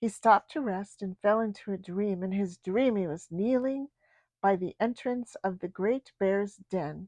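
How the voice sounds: This is a natural reading voice with ordinary pitch variation against a quiet background.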